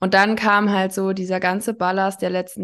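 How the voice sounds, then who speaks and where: This is a woman with a plain, everyday voice. Her pitch is medium and her pace moderate. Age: 30s. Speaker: addiction counselor. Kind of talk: casual interview.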